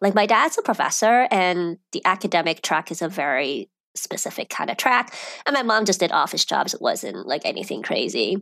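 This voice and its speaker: In a normal speaking voice with an American accent, a woman talks at a moderate pace with lively intonation. The recording is very clean, the background silent. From China and Europe, then US from age ten. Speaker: personal finance expert. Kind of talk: interview.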